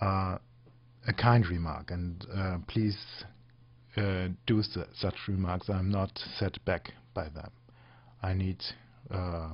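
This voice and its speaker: The speaker talks at a very slow pace with a non-native accent. The voice is somewhat breathy. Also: man. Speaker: software tutorial podcaster. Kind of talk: tutorial. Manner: halting, many fillers.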